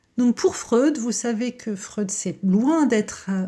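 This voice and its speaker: She has a dark, mellow tone and a somewhat breathy voice. Her pitch varies in an ordinary way. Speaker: psychoanalyst. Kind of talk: educational talk to camera. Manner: hesitant with frequent euh.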